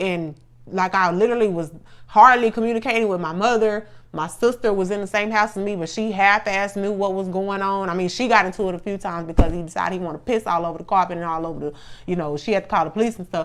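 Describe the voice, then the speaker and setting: At a very fast pace, a woman talks in a medium pitch with ordinary pitch variation. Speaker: podcast co-host. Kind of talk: casual chat.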